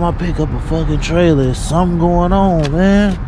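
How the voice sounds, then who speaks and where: The sound is dry with no echo, though noticeable background noise comes through. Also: man. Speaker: truck driver vlogger. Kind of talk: casual vlog chat. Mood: frustrated, swearing. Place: street. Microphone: phone near.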